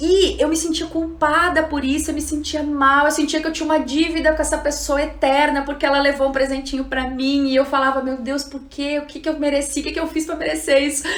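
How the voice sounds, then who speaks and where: A woman with a high voice speaks in an animated tone at a fairly quick pace with hardly any pauses, amid audible room echo and noticeable background noise. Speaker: psychologist and trainer giving an online class. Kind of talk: live-streamed lecture. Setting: Instagram live stream.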